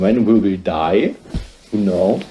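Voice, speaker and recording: A dark, mellow voice with a German accent. It moves at a fairly slow pace. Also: man. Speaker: singer-songwriter vlogger. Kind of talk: casual vlog. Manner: halting.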